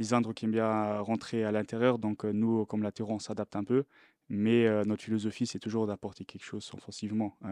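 In a fairly low pitch and a dark, mellow tone, a man talks at a fairly quick pace with monotone, flat intonation, in a dry sound with no echo and a quiet background. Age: 20s. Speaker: professional footballer. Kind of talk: press conference; press conference answer. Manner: halting. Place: meeting room. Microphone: podium.

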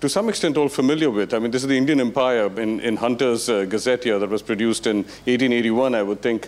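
Fairly quick pace and ordinary pitch variation from a man. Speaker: lecturer. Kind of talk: lecture. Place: hall. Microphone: handheld.

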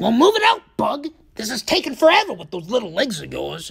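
This put-on character voice comes at a fairly quick pace with a fairly high pitch. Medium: dub. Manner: brash, impatient.

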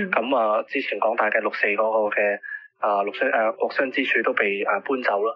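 Through noticeable background noise, a man keeps up a fairly quick pace. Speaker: pro-democracy activist. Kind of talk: news interview. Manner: halting, many fillers.

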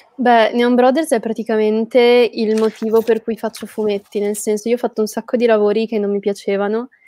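A woman speaks at a fairly quick pace with hardly any pauses, her voice fairly high. Her intonation is monotone and flat, and the sound is dry with no echo. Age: 20s. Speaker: comic book artist; guest. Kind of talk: interview. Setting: live stream. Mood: relaxed, smiling. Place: home room. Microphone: earbuds.

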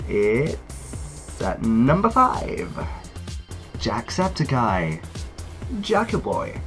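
A man speaks in a British accent. Music plays in the background. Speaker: YouTuber. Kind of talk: casual talk to camera.

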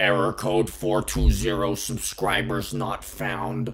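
Raspy and fairly slow, the speaker uses a put-on character voice. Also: man, fairly low pitch for a man.

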